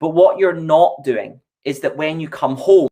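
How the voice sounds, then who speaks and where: A man with a Scottish accent and a dark, mellow tone speaks at a fairly slow pace. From Scotland, Largs (Ayrshire). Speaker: EV company representative. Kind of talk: casual chat.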